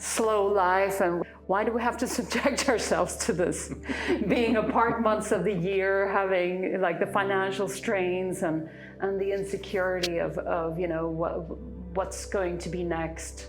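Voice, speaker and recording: A woman with an American accent speaks at a fairly slow pace, medium pitch and fairly even intonation. Audible room echo and noticeable background noise fill the recording. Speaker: YouTube channel co-host. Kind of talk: casual chat. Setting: filmed at home. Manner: halting.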